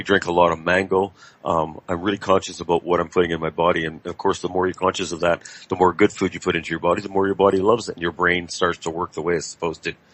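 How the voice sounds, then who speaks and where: At a very fast pace, a man speaks with a very deep, low pitch and monotone, flat intonation. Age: 60s. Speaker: radio talk show host. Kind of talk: casual interview chat.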